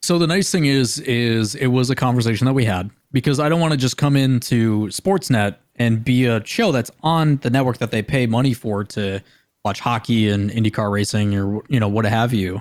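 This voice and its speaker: Recorded very cleanly over a silent background, a man with an American accent speaks at a moderate pace in an unremarkable speaking voice, medium in pitch with ordinary variation and very even loudness. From US Midwest (Green Bay, Wisconsin). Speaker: esports caster and TV host. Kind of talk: casual chat.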